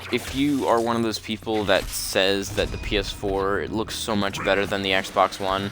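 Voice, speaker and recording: Music plays behind a man who talks at a moderate pace with hardly any pauses and fairly even intonation. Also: fairly low pitch for a man. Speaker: gaming commentator. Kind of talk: casual commentary monologue. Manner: halting, with filler words.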